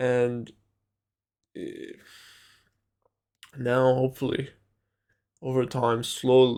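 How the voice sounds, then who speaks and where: A man with a non-native accent and a medium pitch, very slow, with long and frequent pauses, flat monotone intonation. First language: not English. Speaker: vlogger. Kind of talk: personal monologue. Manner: halting, many fillers and repetitions.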